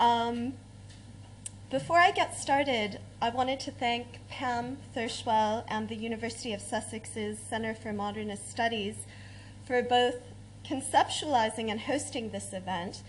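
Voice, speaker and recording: With an American accent, a woman speaks at a fairly slow pace amid audible room echo. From United States. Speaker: academic researcher. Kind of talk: conference talk.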